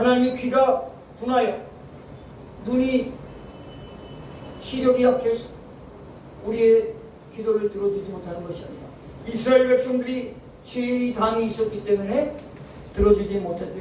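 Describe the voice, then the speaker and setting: A man speaks at an extremely high pitch, with ordinary pitch variation, big swings in loudness, and long, frequent pauses. Audible room echo and noticeable background noise fill the recording. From Seoul, South Korea. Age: 60s. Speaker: pastor. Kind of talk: sermon. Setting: church prayer meeting.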